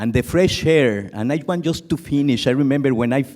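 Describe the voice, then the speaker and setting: With a Mexican accent, a man talks at a moderate pace in a dark, mellow tone with ordinary pitch variation. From Mexico. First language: Spanish. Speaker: conference audience member. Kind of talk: audience comment at conference. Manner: emotional, earnest.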